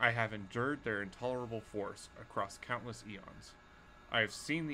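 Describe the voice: Delivered as plain reading aloud, the voice shows ordinary pitch variation.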